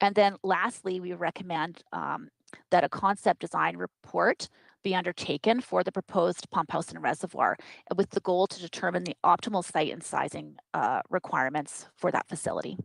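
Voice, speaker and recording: In a very clean recording with a silent background and a dry, close sound free of echo, a woman with a fairly low pitch and vocal fry talks with ordinary pitch variation and big swings in loudness. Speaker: engineering consultant. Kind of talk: technical presentation. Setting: council meeting. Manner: fast.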